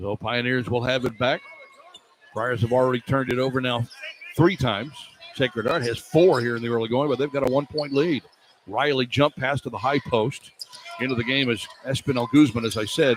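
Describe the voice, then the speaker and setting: A man's medium pitch at a fairly quick pace, fairly even intonation and noticeable background noise. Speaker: radio play-by-play announcer. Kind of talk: live college basketball radio play-by-play. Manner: fast, fluent.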